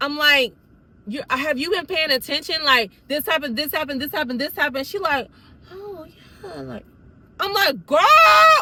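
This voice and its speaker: Raising and projecting her high-pitched voice, a woman speaks at a moderate pace in an animated tone with big swings in loudness. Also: lively intonation. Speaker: YouTuber telling a personal story. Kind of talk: storytime monologue.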